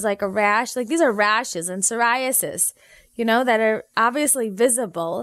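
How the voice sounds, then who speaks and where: With a Midwestern American accent, a woman speaks fast and animated at a fairly high pitch, her intonation lively, in a very clean recording with a silent background. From US Midwest, Naperville, Illinois. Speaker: physician and homeopath. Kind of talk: interview.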